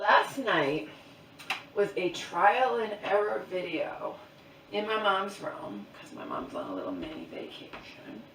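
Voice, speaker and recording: Amid audible room echo and noticeable background noise, a woman talks at a very slow pace with big swings in loudness. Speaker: vlogger. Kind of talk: casual vlog monologue. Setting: at home, in mom's bedroom.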